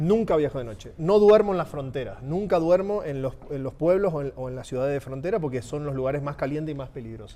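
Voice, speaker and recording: Speaking very fast with hardly any pauses, a man with an Argentine accent uses a fairly high pitch, a dark, mellow tone, lively intonation and big swings in loudness. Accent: Argentine Spanish (voseo). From Argentina. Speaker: motorcycle traveler. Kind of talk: casual chat.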